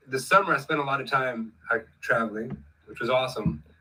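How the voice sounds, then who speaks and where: This is a man speaking at a medium pitch. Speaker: musician and singer. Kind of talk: casual chat. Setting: livestream video call. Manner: animated.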